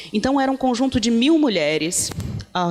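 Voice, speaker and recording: Her intonation is lively as the woman speaks. She keeps a moderate pace amid noticeable background noise. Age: 30s. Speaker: feminist activist, project founder. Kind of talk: panel talk. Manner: halting, with fillers.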